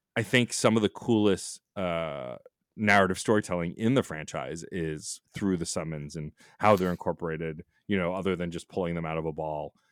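Very deep, low male voice at a moderate pace with ordinary pitch variation, its sound dry and close without echo, on a very clean recording against a silent background. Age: 40s. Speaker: podcaster. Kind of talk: casual chat.

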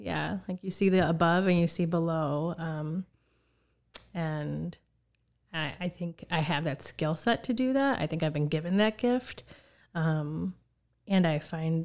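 A plain, everyday voice speaks at a fairly slow pace with ordinary pitch variation. The recording is very clean, with a silent background. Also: woman. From Chicago, Puerto Rican family. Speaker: university student affairs director. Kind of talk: interview.

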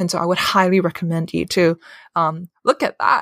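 This woman talks fairly quickly at a medium pitch, with a Cantonese accent. The recording is very clean, with a silent background. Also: dry, close sound with no echo. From Hong Kong. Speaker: therapist. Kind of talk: casual chat. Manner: halting, many fillers.

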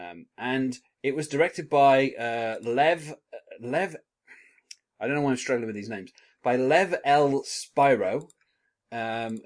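A man speaks at a moderate pace. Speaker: podcast host. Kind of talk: podcast episode recap and chat. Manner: chatty, hesitant with many filler words.

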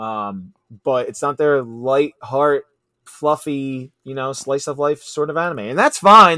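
A man is speaking. His tone is bright and sharp. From South Philly. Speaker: podcaster. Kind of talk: casual chat. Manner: animated, talks with hands.

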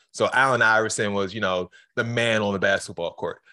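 A man's fairly low, bright, sharp voice with fairly even intonation at a moderate pace. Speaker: radio host. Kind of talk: casual interview chat.

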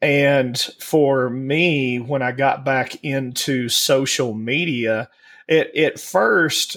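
Very slow speech from a man with a strong Southern US accent and fairly even intonation. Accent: thick Southern US. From US South. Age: 40s. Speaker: podcast co-host. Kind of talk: casual chat.

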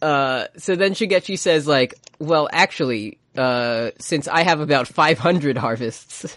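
A man with a fairly high pitch speaks at a very slow pace with hardly any pauses. His pitch variation is ordinary, and the sound is dry and close with no echo. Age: 20s. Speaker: podcast host. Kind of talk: casual chat. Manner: animated, does character voices.

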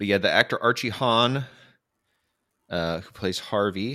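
A man with an American accent speaks in a fairly low pitch with a bright, sharp tone and lively intonation, on a very clean recording with a silent background. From US Midwest, Michigan. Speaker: podcast host. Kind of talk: casual chat.

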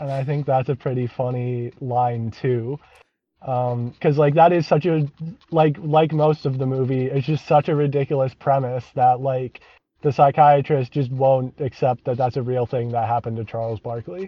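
With a plain, everyday voice, a man talks at a moderate pace and medium pitch, his intonation fairly even. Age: 20s. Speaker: comedy band member. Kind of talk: casual chat.

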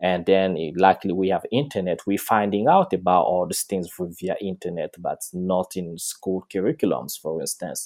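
A man speaks with a Congolese accent at a very deep, low pitch. His pace is moderate, his pitch variation ordinary, and the recording very clean with a silent background. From Republic of Congo. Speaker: dancer and choreographer. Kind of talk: interview. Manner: halting, many fillers.

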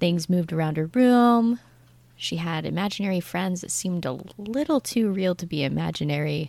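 A woman speaks in a normal speaking voice at a fairly low pitch and a moderate pace, with lively intonation. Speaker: tabletop roleplaying player. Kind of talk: actual play game session.

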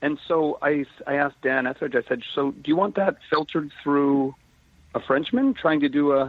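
A man with a plain, everyday voice and a fairly high pitch talks at a moderate pace. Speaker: actor. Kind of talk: casual interview. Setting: phone call.

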